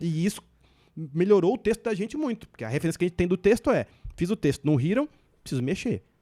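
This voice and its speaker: The speech comes at a very fast pace with very wide pitch swings and long, frequent pauses, in a dark, mellow tone with a dry, close sound and no echo. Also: man, high pitch for a man. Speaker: stand-up comedian. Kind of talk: podcast interview. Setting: podcast.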